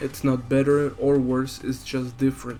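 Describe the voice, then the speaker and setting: Music plays in the background as the voice moves at a moderate pace with a monotone, flat intonation. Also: man. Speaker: gaming video essayist. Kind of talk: video essay rant.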